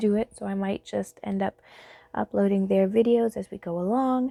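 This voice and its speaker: A dark, mellow tone with ordinary pitch variation comes through a dry, close sound with no echo. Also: woman. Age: 30s. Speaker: podcast host. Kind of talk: casual monologue. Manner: halting, many fillers.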